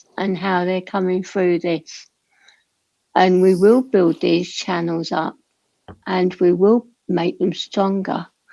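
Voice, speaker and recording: A woman speaks at a very slow pace in a dark, mellow tone. Her pitch is medium and her intonation fairly even. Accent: British. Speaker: livestream panelist. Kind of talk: casual chat. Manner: soft-spoken.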